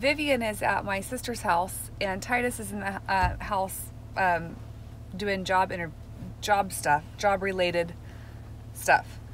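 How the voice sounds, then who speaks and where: Against light background noise, a woman speaks at a very slow pace. Her pitch variation is ordinary, and the sound is dry with no echo. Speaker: family vlogger. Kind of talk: casual vlog chat. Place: car. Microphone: phone near.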